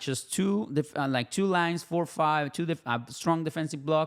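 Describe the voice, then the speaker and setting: A speaker with a Spanish accent talks at a moderate pace. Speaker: football YouTuber. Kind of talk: casual match commentary vlog. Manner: halting, many fillers and restarts.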